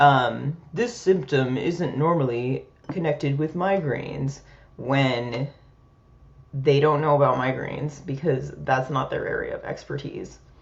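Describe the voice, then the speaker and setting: Noticeable background noise runs beneath talking that moves fairly slowly. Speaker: peer support podcast host. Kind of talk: personal vlog monologue. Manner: soft-spoken, quieter than usual; hesitant, many fillers.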